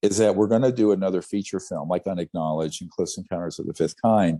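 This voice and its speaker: A man with an American accent, fairly low in pitch, with a dark, mellow tone and ordinary pitch variation. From US South. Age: 60s. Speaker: ufology researcher. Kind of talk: interview.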